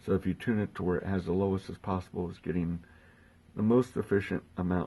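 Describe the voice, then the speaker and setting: Against a quiet background, a soft-spoken man talks in a very deep, low pitch with a dark, mellow tone and fairly even intonation. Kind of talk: instructional talk to camera.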